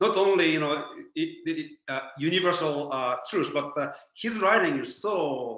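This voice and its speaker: Audible room echo carries a man's fairly high voice, spoken with a Japanese accent and ordinary pitch variation. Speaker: spiritual teacher. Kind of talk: lecture. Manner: halting.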